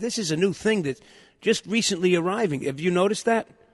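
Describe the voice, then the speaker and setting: A man's high voice with an American accent, ordinary pitch variation and a fairly quick pace, in a dry, close sound with no echo. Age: 60s. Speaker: radio host. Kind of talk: casual chat. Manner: animated.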